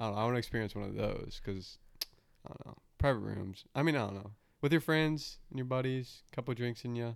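Using a normal speaking voice, a man keeps up a fairly brisk tempo. His pitch sits in the middle range and varies as usual. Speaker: podcast host. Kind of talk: casual chat. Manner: profane, jokey.

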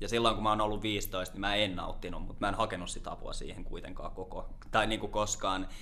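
A man at a fairly quick pace with audible room echo. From Lahti, Finland. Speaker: peer support worker. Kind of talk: casual interview. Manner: calm.

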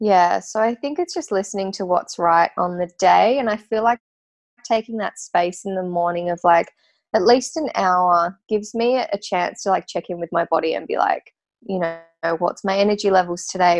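Moderate pace from a woman with an Australian accent, medium pitch and ordinary pitch variation, music in the background and a dry, close sound with no echo. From Tasmania, Australia. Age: 30s. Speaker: natural perfume maker and business owner. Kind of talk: interview.

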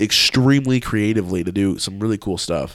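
On a very clean recording with a silent background, a plain, everyday voice moves at a fairly quick pace with lively intonation. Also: man. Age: 20s. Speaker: videographer and photographer. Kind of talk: casual chat.

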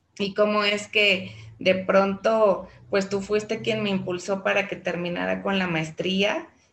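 Speaking at a fairly slow pace, a woman uses a normal speaking voice with a medium pitch and fairly even intonation. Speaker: teacher. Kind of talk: interview.

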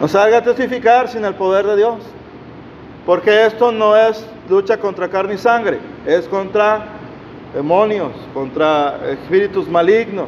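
A man with a high pitch and ordinary pitch variation talks at a fairly slow pace, pausing long and often. Noticeable background noise runs underneath. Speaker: preacher. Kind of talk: sermon. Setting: church. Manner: animated, fervent; exhortative, call-and-response with congregation.

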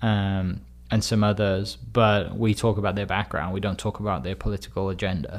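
The speaker has a Welsh accent and ordinary pitch variation. The pace is moderate. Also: man, fairly low pitch for a man, very clean recording, silent background. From Wales. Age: 30s. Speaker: real estate agent and community storyteller. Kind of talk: interview conversation.

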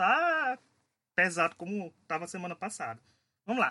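A man with a Paraíba accent speaks at a high pitch in a bright, sharp tone. The sound is dry and close with no echo, over a quiet background. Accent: Paraíba (northeastern Brazilian). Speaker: podcast host. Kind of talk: casual chat.

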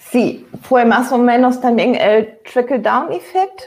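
Speaking at a fairly slow pace, a woman with a German accent has a fairly high pitch. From Germany. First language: German (speaking Spanish). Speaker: novelist. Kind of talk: panel discussion. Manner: halting.

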